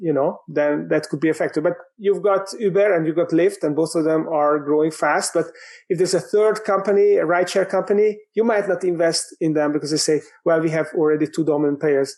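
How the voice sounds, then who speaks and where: In a Hungarian accent, a man talks at a fairly quick pace in a high pitch, with fairly even intonation and very even loudness. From Hungary. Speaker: business coach and author. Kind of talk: podcast interview. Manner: halting, many fillers.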